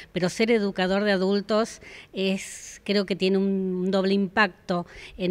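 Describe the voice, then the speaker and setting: Monotone, flat intonation and a fairly slow pace define this woman's speech. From Argentina. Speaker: adult educator. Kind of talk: interview. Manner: hesitant, with filler 'eh' and repetitions. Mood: warm, earnest, proud. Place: hall. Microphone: handheld.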